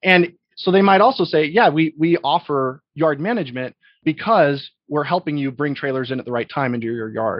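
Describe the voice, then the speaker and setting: With a plain, everyday voice, a man speaks at a fairly high pitch in an American accent. His intonation is lively and his pace moderate. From US, Idaho (Boise). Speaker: logistics software business executive, army veteran. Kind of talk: interview.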